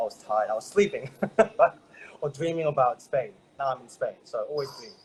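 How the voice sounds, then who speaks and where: An Australian accent at a moderate pace. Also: man. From Australia, Brisbane. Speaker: network marketer, former health professional. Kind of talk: interview testimony. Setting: remote call.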